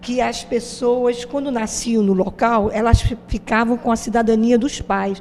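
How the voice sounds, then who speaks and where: A woman talks at a fairly slow pace with hardly any pauses, her fairly high pitch held in a monotone, flat intonation. Noticeable background noise runs underneath. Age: 70s. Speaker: interviewee. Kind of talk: interview.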